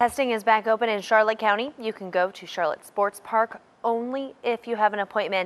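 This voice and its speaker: A woman's unremarkable speaking voice, medium in pitch, at a fairly quick pace. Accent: American. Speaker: news anchor. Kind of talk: television news anchor delivery.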